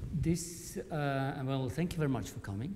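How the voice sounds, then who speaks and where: Soft-spoken, a man talks at a moderate pace with ordinary pitch variation. Noticeable background noise and audible room echo are present. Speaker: conversation chair, professor and artist. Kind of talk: panel discussion introduction. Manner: halting. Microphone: speaking into a microphone, quiet.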